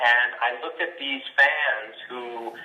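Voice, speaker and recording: There is noticeable background noise as a man speaks with a New York accent. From Brooklyn, New York. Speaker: voice actor and singer-songwriter. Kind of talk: interview answer. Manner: casual, conversational.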